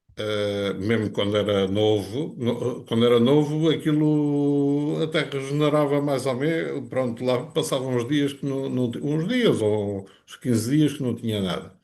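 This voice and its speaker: Speaking at a fairly slow pace with hardly any pauses, a man uses a medium pitch, ordinary pitch variation and a dark, mellow tone. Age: 60s. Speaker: customer giving testimonial. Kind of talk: testimony. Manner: halting.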